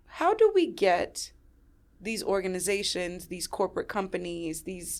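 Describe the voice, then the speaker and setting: A woman speaks at a fairly slow pace with big swings in loudness, in a very clean recording with a silent background. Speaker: podcast host and survivor advocate. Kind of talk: interview conversation. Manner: direct.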